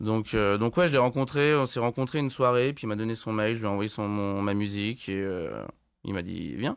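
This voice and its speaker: A man speaks in a plain, everyday voice at a fairly low pitch with ordinary pitch variation. The recording is very clean, with a silent background. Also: moderate pace. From France, Haute-Savoie. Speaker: musician. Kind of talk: podcast interview. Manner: casual, many fillers.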